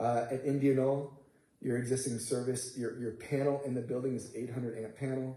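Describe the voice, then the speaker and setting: A dark, mellow tone, somewhat breathy, at a fairly quick pace. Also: man. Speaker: construction manager presenting to school board. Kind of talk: board meeting presentation. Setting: school board meeting. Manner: fast.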